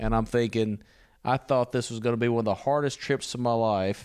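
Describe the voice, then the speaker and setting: Over a silent background on a very clean recording, a man with a Louisiana accent speaks at a medium pitch with fairly even intonation. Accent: Southern US (Louisiana). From US South, Louisiana. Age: 40s. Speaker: missionary preacher. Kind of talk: casual interview. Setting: recorded on location in Italy.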